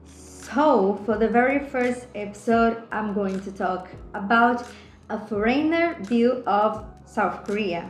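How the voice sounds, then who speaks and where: Audible room echo surrounds a woman who speaks at a very slow pace with a fairly high pitch and ordinary pitch variation. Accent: Brazilian. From Brazil. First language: Portuguese. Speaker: podcast host. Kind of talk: solo podcast monologue. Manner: hesitant, with filler sounds.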